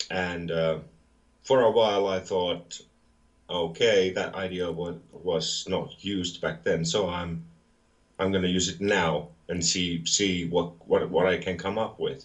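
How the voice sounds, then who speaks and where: Deep and very low, this man's voice keeps a fairly even intonation. He speaks at a fairly slow pace. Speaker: metal musician. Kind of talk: interview. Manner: halting, many fillers.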